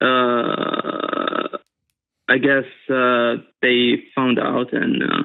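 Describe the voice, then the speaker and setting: The speaker is a man. His words come with a non-native accent. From Middle East. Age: 30s. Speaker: caller. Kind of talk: call-in advice conversation. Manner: halting, many fillers.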